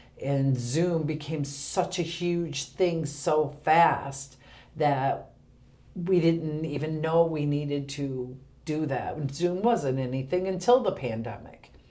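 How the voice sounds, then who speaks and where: In a room with audible echo, a woman with a very deep, low pitch and a dark, mellow tone speaks at a very slow pace with ordinary pitch variation. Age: 50s. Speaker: senior center director. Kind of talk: podcast interview.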